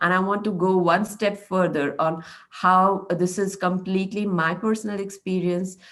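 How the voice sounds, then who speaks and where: A woman's monotone, flat intonation at very even loudness. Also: medium pitch for a woman, moderate pace. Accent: Marathi. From India, Maharashtra. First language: Marathi. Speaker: meetup speaker. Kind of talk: presentation.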